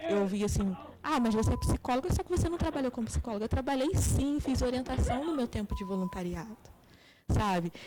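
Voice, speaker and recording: Over music in the background, a soft-spoken woman talks at a fairly quick pace in a high voice with very wide pitch swings. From Brazil, Petrópolis (Rio de Janeiro state). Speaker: psychologist. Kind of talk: interview.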